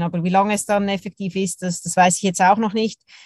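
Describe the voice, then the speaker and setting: In a dry, close sound with no echo, a woman speaks at a medium pitch with a monotone, flat intonation. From Switzerland, Zurich. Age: 30s. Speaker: professional curler. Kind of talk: interview.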